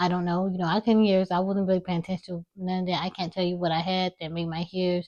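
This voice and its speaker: Quiet, mumbled speech from a woman at a very fast pace, monotone and flat, with hardly any pauses. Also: medium pitch for a woman. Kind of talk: personal vlog monologue. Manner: mumbling; quiet, low volume.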